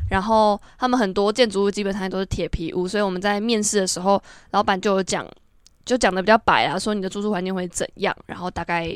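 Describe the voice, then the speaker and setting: Very fast and flat in intonation, a woman speaks at a medium pitch in a very clean recording with a silent background. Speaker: guest sharing travel experience. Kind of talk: casual chat.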